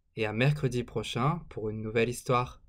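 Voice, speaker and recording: A man with a medium pitch sounds somewhat breathy, his tone gentle and playful and his pitch varying in an ordinary way. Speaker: storybook reader. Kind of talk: bedtime story reading aloud to children, picture book narration. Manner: gentle, unhurried, playful storyteller; animated, sound effects on 'zic zic zic'.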